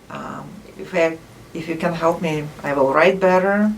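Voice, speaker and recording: A woman's fairly low voice with a non-native accent and ordinary pitch variation, amid audible room echo and noticeable background noise. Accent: foreign. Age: 50s. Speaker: math professor. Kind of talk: interview. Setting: office.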